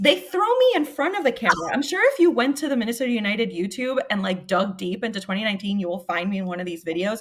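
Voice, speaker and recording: Amid noticeable background noise, a woman with a fairly high pitch races at a very fast pace with hardly any pauses and lively intonation. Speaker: sports media personality. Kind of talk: casual podcast conversation. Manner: stutters when nervous.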